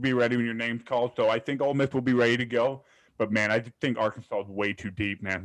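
A man talks at a very fast pace with fairly even intonation. His pitch is medium, and the background is quiet. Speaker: college baseball podcast co-host. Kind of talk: casual chat.

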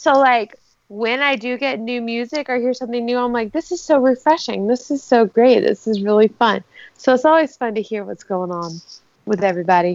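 A woman's fairly high voice, lively in intonation, at a fairly quick pace. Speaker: podcast co-host. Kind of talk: casual chat. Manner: animated.

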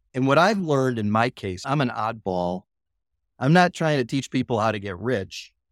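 In an ordinary speaking voice, a man speaks at a moderate pace with medium pitch and lively intonation. The recording is very clean, with a silent background. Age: 60s. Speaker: industrial real estate broker and investor. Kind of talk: interview. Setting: call.

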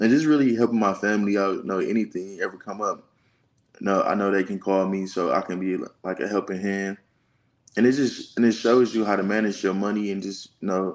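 Fairly quick and fairly low-pitched, a man with an American accent speaks in an ordinary speaking voice with fairly even intonation against a quiet background. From Detroit, Michigan. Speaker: college football player. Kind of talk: casual interview.

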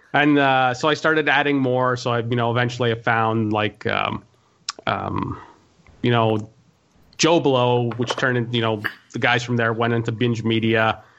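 Over noticeable background noise, a man at a medium pitch talks with fairly even intonation and very even loudness, pausing long and often. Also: moderate pace. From Montreal, Quebec. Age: 30s. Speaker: podcast host. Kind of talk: casual chat.

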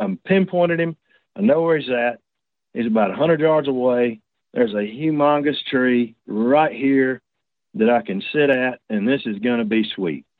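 A medium-pitched man with a Southern US accent. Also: lively intonation, moderate pace. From Georgia, US. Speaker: turkey hunter, caller. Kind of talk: casual chat, telling personal story. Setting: phone or video call.

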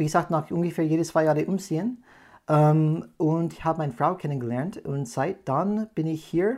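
A man with an American accent speaks at a moderate pace in a dark, mellow tone, his fairly high pitch varying in an ordinary way on a very clean recording with a silent background. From California, USA, then moved abroad often. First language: English (speaking German). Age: 40s. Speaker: podcast host, change management consultant. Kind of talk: casual chat. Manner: hesitant, many fillers.

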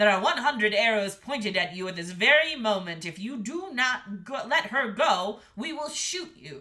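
Putting on a character voice, a man bellows in a raised, projected, high-pitched voice at a moderate pace with hardly any pauses. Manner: bellowing, threatening.

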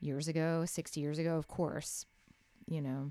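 Recorded very cleanly against a silent background, a woman speaks with an American accent. Her pitch is fairly low, her intonation monotone and flat, and her pace moderate. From Texas, Waco. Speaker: singer-songwriter. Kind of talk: casual interview chat. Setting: in-person studio.

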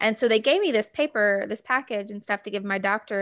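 Recorded very cleanly against a silent background, a woman speaks at a fairly high pitch in a Mississippi accent. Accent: Southern US (Mississippi). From US South, Gulfport, Mississippi. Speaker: podcast co-host. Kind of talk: casual chat.

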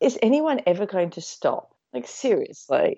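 The speaker talks with an Australian accent. The pace is fairly slow. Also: woman. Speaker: podcast co-host. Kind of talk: casual chat. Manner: animated.

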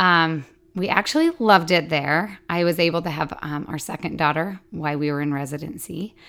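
Here is an ordinary speaking voice: a woman with an American accent, fairly low in pitch and with ordinary pitch variation. She talks at a fairly quick pace in a very clean recording with a silent background. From Utah. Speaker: stay-at-home mom. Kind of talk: casual chat.

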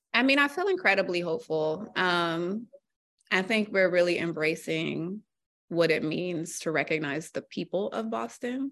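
With an American accent, a woman uses an ordinary speaking voice at a fairly low pitch, lively intonation and a moderate pace. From US Mid-Atlantic (Virginia, DC area). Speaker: newspaper columnist. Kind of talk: casual interview.

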